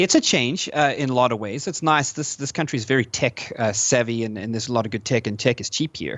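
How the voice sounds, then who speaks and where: At a very fast pace and with hardly any pauses, a man talks with a slight South African accent. His pitch is medium with ordinary pitch variation. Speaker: gamer, podcast interviewee. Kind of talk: podcast interview. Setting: live online podcast recording. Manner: hesitant, many fillers.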